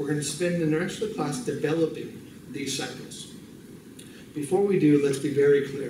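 A man's fairly high voice at a moderate pace with ordinary pitch variation, audible room echo and light background noise. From US, California. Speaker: bible college missions instructor. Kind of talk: lecture. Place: classroom. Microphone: podium.

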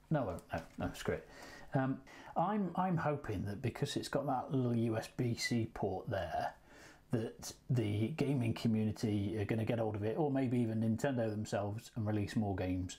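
A man's dark, mellow, somewhat breathy voice at a moderate pace, with ordinary pitch variation. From England. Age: 40s. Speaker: YouTube gaming unboxer; gaming video host. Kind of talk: casual unboxing vlog. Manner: hesitant, many fillers. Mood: relaxed, lightly humorous. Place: home room. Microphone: lapel.

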